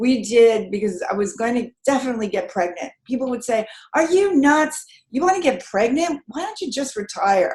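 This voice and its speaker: A woman speaks at a moderate pace, her high pitch swinging very widely. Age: 70s. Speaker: energy healer and life coach. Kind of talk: panel discussion. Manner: animated.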